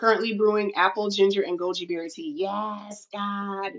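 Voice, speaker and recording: A woman's medium-pitched, animated voice with ordinary pitch variation at a moderate pace. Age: 40s. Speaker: wellness coach and spiritual host. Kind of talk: casual live-stream chat. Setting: live stream on social media.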